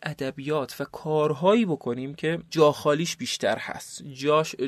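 A man's fairly high-pitched voice in a dry, close recording with no echo. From eastern Iran, South Khorasan (Qaen). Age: 30s. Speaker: NGO founder and director. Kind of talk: interview. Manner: halting.

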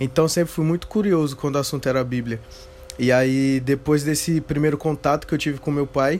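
A man with a fairly high pitch and fairly even intonation speaks over noticeable background noise. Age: 20s. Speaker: theology student and church member. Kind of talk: casual interview conversation.

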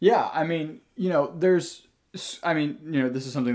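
A man at a fairly quick pace with ordinary pitch variation and an unremarkable speaking voice, on a very clean recording with a silent background. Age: 20s. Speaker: guest, worship musician. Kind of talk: casual chat, faith discussion.

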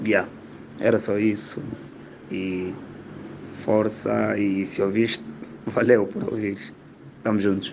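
Very slow and broken by long, frequent pauses, a man with an Angolan accent speaks in a fairly low, monotone, flat voice with audible room echo. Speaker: comedian. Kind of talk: voice message.

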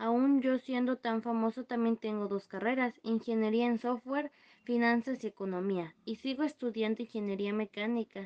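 A woman with a normal speaking voice, fairly high pitch, fairly even intonation and a moderate pace. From Mexico, Veracruz. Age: 20s. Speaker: youtuber. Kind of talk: scripted mock interview.

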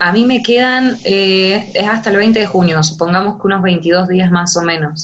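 An ordinary speaking voice with ordinary pitch variation and very even loudness talks at a fairly slow pace with hardly any pauses. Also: woman, medium pitch for a woman. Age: 20s. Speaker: law student on exchange. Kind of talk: interview.

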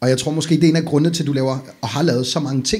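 A somewhat breathy, fairly high male voice with ordinary pitch variation. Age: 40s. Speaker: podcast host. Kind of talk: casual chat.

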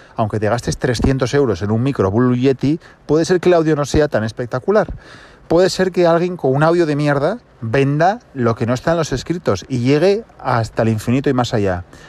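Over noticeable background noise, a man talks at a fairly quick pace with lively intonation and a fairly high pitch. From Asturias, Spain. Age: 30s. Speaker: podcast host. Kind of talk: casual monologue. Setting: in a car.

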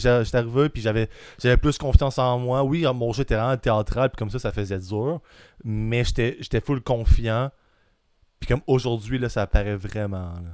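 A plain, everyday voice, moderate in pace, ordinary pitch variation, very clean recording, silent background. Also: man, medium pitch for a man. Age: 20s. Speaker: aspiring stand-up comedian. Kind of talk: casual chat.

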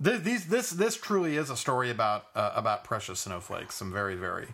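A man with an American accent and a bright, sharp tone, on a very clean recording with a silent background. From US West Coast, Los Angeles. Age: 30s. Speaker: podcast co-host. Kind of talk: casual political chat.

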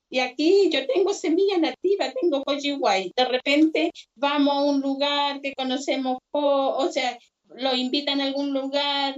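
A woman speaks at a high pitch. She talks at a fairly slow pace. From Chile, Combarbalá. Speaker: seed keeper and artisan. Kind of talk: video call conversation panel.

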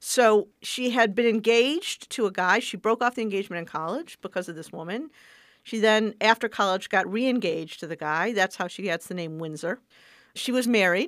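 A woman with an ordinary speaking voice at a medium pitch talks at a fairly quick pace with lively intonation and big swings in loudness, recorded very cleanly against a silent background with a dry, close sound and no echo. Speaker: civil rights lawyer. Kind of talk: interview.

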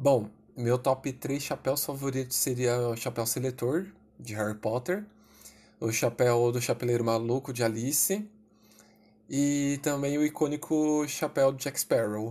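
A man speaks at a fairly slow pace with ordinary pitch variation. He has an unremarkable speaking voice. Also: medium pitch for a man. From Brazil, São Paulo city. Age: 20s. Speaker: writer and witchcraft enthusiast. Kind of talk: casual interview.

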